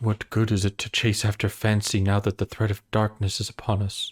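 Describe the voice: The text is read out in a plain manner. Nothing more than simple reading aloud is heard.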